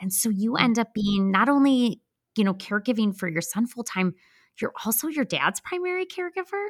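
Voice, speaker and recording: A woman with a Midwestern US accent, in dry, close sound with no echo. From US Midwest. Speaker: podcast host. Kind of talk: interview conversation.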